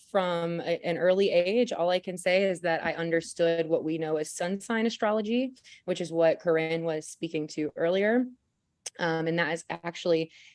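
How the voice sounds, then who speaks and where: Moderate pace and fairly even intonation from a woman with a fairly low pitch. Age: 20s. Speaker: intuitive astrologer. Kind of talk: panel talk on video call. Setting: video call. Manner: hesitant with fillers and repetitions.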